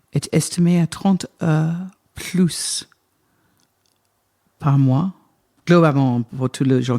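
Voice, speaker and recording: Dry and close with no echo, a woman speaks at a very slow pace in a dark, mellow tone. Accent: British. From Britain. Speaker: wine estate manager. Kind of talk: interview answer. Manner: talkative, lively, cheerful.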